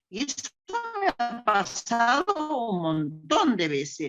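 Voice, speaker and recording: A woman's fairly high voice with vocal fry and very wide pitch swings. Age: 80s+. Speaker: older adult participant. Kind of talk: personal testimony in a panel discussion.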